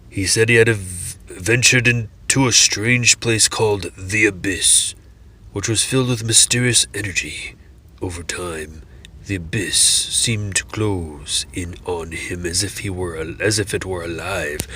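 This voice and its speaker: Against clear background noise, a man puts on a character voice with a fairly low pitch. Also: moderate pace. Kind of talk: dark fantasy lore reading. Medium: read story. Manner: slow, phrase by phrase.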